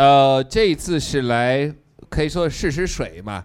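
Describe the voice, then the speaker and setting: Speaking fairly slowly, a man with an English accent uses lively intonation at medium pitch. The recording is very clean, with a silent background. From United States. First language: English (speaking Chinese). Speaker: political satire YouTuber. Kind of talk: live comedic interview.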